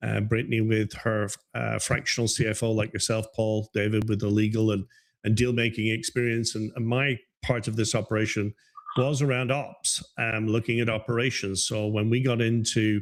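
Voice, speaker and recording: Speaking at a moderate pace with an Irish accent, a man holds a medium pitch in a flat, monotone delivery. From Ireland, Dublin. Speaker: business advisor. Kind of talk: interview.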